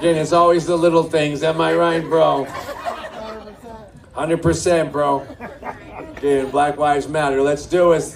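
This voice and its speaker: A man with a fairly high pitch speaks at a moderate pace in a monotone, flat intonation, with long, frequent pauses, noticeable background noise and audible room echo. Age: 60s. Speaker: stand-up comedian. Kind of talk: stand-up with crowd work. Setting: stage with live audience at a brewery.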